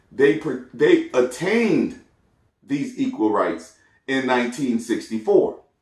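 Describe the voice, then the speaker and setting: Music plays in the background while a man talks at a very slow pace. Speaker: podcast host. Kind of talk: solo commentary podcast. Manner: casual, conversational.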